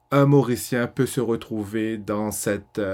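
Very clean and with a silent background, this recording has a man speaking at a medium pitch. He talks at a very slow pace with fairly even intonation. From Mauritius. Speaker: film director. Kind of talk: casual interview. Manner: hesitant, many fillers.

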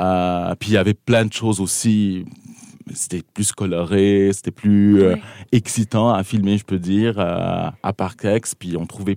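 On a very clean recording with a silent background and a dry, close sound with no echo, a man with a fairly low pitch and a dark, mellow tone keeps a fairly even intonation. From southern Lebanon. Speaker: filmmaker. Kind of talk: casual interview.

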